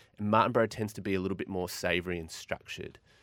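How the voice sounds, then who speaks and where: A man talks at a fairly quick pace in a plain, everyday voice, his pitch fairly low. The sound is dry and close with no echo, and the recording is very clean with a silent background. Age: 40s. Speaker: wine expert. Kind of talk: casual chat.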